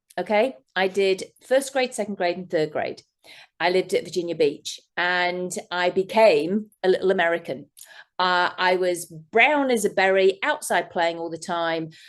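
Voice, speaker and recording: Against a quiet background, a woman with an English accent speaks at a moderate pace and medium pitch, with ordinary pitch variation. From England. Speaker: therapist. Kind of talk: interview. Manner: animated.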